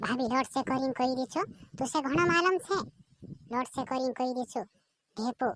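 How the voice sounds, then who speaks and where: A woman's high-pitched, cartoonish character voice. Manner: teasing, singsong, repetitive.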